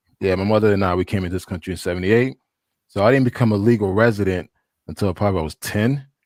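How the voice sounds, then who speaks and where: On a very clean recording with a silent background and a dry, close sound with no echo, a man with a fairly low pitch and a slight Haitian accent speaks at a very fast pace with ordinary pitch variation. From Haiti, raised in US from childhood. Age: 40s. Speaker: traveler, panel guest. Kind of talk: casual chat.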